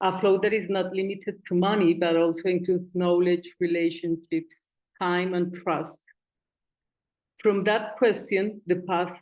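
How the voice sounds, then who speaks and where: A woman speaks with a Spanish accent at medium pitch. Her pace is fairly slow and her intonation monotone and flat. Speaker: community foundation coordinator. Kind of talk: conference presentation.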